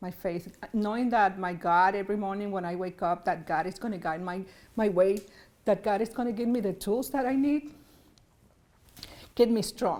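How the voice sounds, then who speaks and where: Speaking with a Spanish accent at a moderate pace, a woman uses a medium pitch and ordinary pitch variation, with long, frequent pauses. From Puerto Rico. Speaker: state senator. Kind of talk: interview. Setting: arts center.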